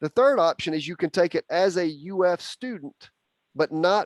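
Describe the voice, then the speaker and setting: This man talks at a moderate pace with a Southern US accent, a high pitch and ordinary pitch variation. The recording is very clean, with a silent background and a dry, close sound with no echo. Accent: Southern US (Georgia). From Georgia, US South. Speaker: university bee expert. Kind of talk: Q&A talk.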